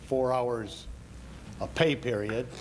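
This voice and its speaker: In audible room echo, a man with a Chicago-area accent speaks at a very slow pace with ordinary pitch variation. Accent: Chicago-area Midwestern American. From Waukegan, Illinois. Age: 70s. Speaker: retired firefighter, public commenter. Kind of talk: public comment at council meeting.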